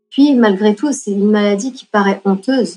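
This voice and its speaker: Her intonation is fairly even. The woman's medium-pitched voice moves at a moderate pace. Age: 40s. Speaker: patient sharing her story. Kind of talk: testimony. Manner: halting, frequent repetitions and hesitations.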